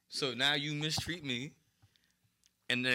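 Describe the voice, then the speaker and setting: A man speaks with a New York accent. His tone is bright and sharp. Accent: New York City. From New York City, East Harlem. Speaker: hip-hop artist. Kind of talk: casual chat.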